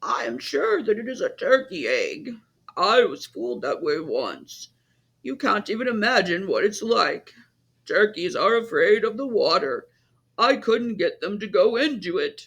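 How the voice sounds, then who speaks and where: A man's put-on character voice, raspy and extremely high-pitched, at a moderate pace. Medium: read story. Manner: bossy, know-it-all.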